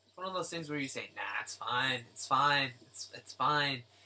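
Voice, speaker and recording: A man speaks at a moderate pace in a fairly high voice. Noticeable noise sits in the background. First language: not English. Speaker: artist live-streaming drawing. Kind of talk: live stream tutorial chat. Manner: halting, with fillers. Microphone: volume was too quiet, turned down.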